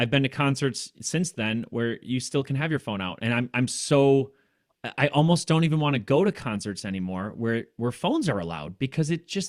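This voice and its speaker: A man with an ordinary speaking voice talks fairly quickly with lively intonation, recorded with a dry, close sound with no echo on a very clean recording with a silent background. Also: medium pitch for a man. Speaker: podcast co-host. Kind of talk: casual interview conversation.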